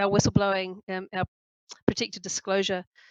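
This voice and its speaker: A woman's medium-pitched voice with a New Zealand accent. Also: dry, close sound with no echo. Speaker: chief executive of an anti-corruption organization. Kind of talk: webinar presentation.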